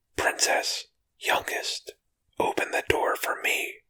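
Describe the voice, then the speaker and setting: Whispering in a put-on character voice, the speaker goes at a fairly slow pace. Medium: read story.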